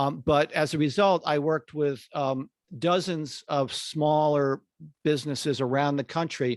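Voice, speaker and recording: A man talks in a fairly high pitch with fairly even intonation and very even loudness. The recording is very clean with a silent background, and the sound is dry and close with no echo. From Connecticut. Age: 60s. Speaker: marketing consultant, former ad agency CEO. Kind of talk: podcast interview. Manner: halting, many fillers and repetitions.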